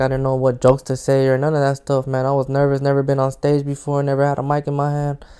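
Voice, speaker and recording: A man with an American accent, fairly high in pitch, dark and mellow in tone, fairly quick and monotone. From Los Angeles (South Central, Watts). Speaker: comedian. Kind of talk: casual monologue podcast. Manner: casual, unedited with restarts.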